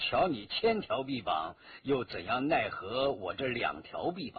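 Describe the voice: A man's put-on character voice with a husky, rough edge, medium pitch and big pitch swings, at a fairly slow pace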